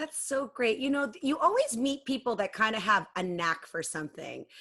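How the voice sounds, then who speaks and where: A loud woman's voice with very wide pitch swings. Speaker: matchmaker and web series host. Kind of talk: interview.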